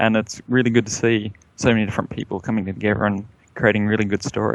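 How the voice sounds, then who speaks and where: With an Australian accent, a man with fairly low pitch speaks at a very fast pace in a monotone, flat delivery. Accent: Australian (jokingly called Texan). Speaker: online game guild member. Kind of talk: interview.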